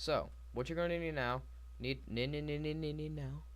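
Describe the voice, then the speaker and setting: A somewhat breathy man with very wide pitch swings and audible room echo. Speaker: gaming youtuber. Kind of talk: tutorial. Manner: halting, stuttering.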